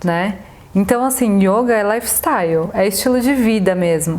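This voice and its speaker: A woman speaks at a medium pitch and a fairly slow pace, with ordinary pitch variation. Noticeable background noise sits behind her. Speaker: yoga teacher. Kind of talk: casual chat.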